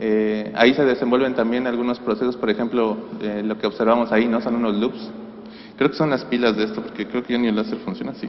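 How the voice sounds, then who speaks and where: A man talks at a very fast pace. Audible room echo and noticeable background noise surround him. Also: medium pitch for a man, ordinary pitch variation. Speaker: astrophysics researcher. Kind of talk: conference talk. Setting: conference hall with PA system.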